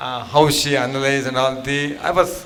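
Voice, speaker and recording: In an ordinary speaking voice, a man talks at a moderate pace with a fairly high pitch. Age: 60s. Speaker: program participant. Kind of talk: testimony.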